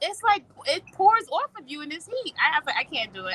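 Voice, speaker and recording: A woman projects a raised voice with a bright, sharp tone in a dry, close sound with no echo. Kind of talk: casual chat. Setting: outdoors in a hammock.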